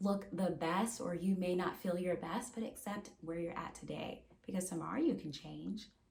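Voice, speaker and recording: The voice is somewhat breathy, with fairly even intonation and audible room echo. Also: woman. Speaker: therapist. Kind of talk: advice monologue to camera. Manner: repetitive, many fillers and restarts.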